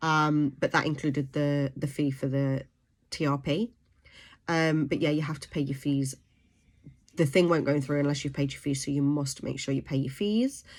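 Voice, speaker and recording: In a British accent, a woman with a very deep, low pitch speaks at a moderate pace with fairly even intonation, in a very clean recording with a silent background. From UK. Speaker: vlogger. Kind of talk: informational vlog. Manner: hesitant, many fillers.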